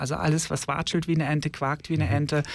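This man's voice sits at a fairly high pitch. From Germany, Ostwestfalen-Lippe (North Rhine-Westphalia). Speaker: drag nun / queer activist. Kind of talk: radio interview. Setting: studio.

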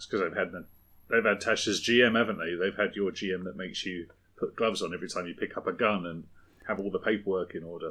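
Very fast and in a southern English accent, a man talks with a bright, sharp tone, a fairly low pitch and fairly even intonation on a very clean recording with a silent background. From southern England. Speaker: podcast co-host. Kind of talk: casual chat. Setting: home shed.

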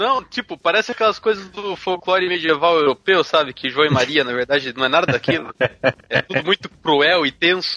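With a bright, sharp tone and high pitch, a man speaks at a moderate pace with lively intonation in a dry, close sound with no echo. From Brazil, interior of São Paulo state. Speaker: podcast co-host. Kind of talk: casual chat.

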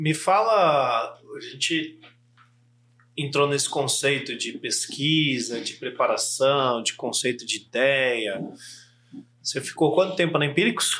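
At a very slow pace with long, frequent pauses, the speaker uses a bright, sharp tone and ordinary pitch variation. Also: man, fairly high pitch for a man. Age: 40s. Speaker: podcast host and copywriting trainer. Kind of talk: casual interview chat.

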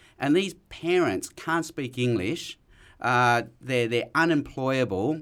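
A man in an Australian accent, medium pitch, lively intonation and a very slow pace, on a very clean recording with a silent background. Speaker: evangelist and lecturer. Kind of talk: casual interview chat.

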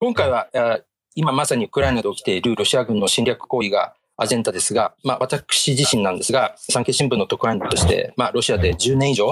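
Recorded dry and close with no echo, a man talks at a very fast pace. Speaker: editor-in-chief, podcast host. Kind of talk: interview.

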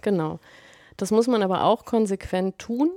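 Fairly slow and with ordinary pitch variation, a woman speaks in a dark, mellow tone on a very clean recording with a silent background. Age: 40s. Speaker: blogger and author, mother. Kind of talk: casual interview.

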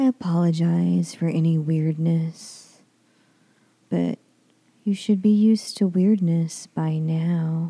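A woman's dark, mellow, somewhat breathy voice, fairly low in pitch, with ordinary pitch variation, a very slow pace and long, frequent pauses. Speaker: podcast host. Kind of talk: casual podcast intro.

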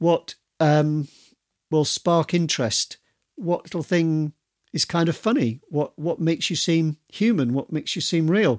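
Delivery comes at a fairly slow pace with ordinary pitch variation. The recording is very clean, the background silent. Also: man, high pitch for a man. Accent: Yorkshire. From Yorkshire. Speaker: podcast host and author. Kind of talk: solo podcast monologue. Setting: video recording.

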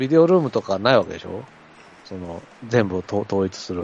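Speaking at a fairly quick pace, a man lets his pitch swing very widely. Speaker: baseball podcast co-host. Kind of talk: casual chat.

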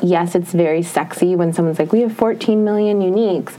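A woman's fairly low, fairly even voice with an American accent, at a fairly quick pace, over noticeable background noise. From Minnesota. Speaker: beauty editor. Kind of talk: interview podcast.

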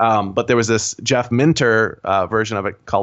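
In an unremarkable speaking voice, a man with fairly low pitch talks at a fairly quick pace. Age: 40s. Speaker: indie game designer. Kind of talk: casual interview.

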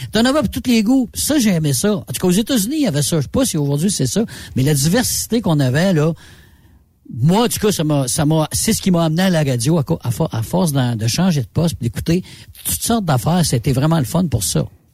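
A man's fairly high voice with a dark, mellow tone, very wide pitch swings and a Quebec accent. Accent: Québécois French. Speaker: radio host. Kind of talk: casual chat.

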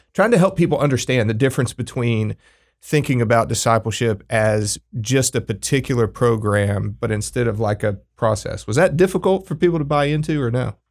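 An ordinary speaking voice: a man with an American accent, medium pitch and lively intonation, at a fairly quick pace. The recording is very clean, with a silent background. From Texas Panhandle. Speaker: podcast co-host. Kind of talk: interview.

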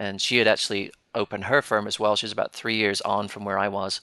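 A man with a British accent speaks at a medium pitch in a bright, sharp tone. The sound is dry and close with no echo, and the background is quiet. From Britain. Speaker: financial planner and firm owner. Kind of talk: panel discussion.

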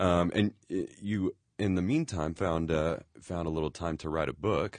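A man with a very deep, low voice speaks with ordinary pitch variation against a quiet background. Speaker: podcast host. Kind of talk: casual interview. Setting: studio. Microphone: studio quality recording.

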